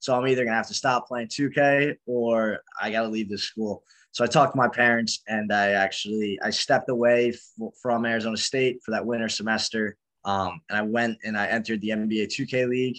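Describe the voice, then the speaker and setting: A man talks at a fairly quick pace in an unremarkable speaking voice, medium in pitch. His intonation is fairly even, and the background is quiet. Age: 20s. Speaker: esports pro player and founder. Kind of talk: casual interview.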